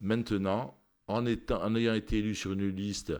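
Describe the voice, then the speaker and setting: A man speaks. The recording is very clean with a silent background. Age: 60s. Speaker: politician and doctor. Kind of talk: radio interview. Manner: hesitant, many repeated words.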